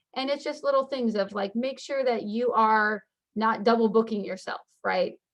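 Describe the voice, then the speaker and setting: Fairly high-pitched woman's voice at a fairly quick pace, with ordinary pitch variation. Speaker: school counselor. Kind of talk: informational webinar presentation. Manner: fast.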